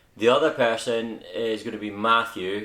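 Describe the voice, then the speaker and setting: A man with a Scottish accent. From Scotland. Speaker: RC hobby YouTuber. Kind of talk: casual vlog introduction. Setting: at home. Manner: informal with filler words.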